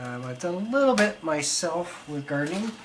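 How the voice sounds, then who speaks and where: Noticeable background noise surrounds a man whose pitch swings very widely. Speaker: pottery instructor. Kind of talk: tutorial.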